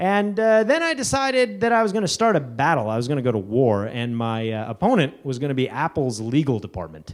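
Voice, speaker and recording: A man speaks at a fairly quick pace with hardly any pauses, his pitch fairly high and swinging very widely. The recording is very clean, with a silent background. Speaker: conference speaker. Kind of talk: conference talk. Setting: stage with audience. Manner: loud, awkwardly excited.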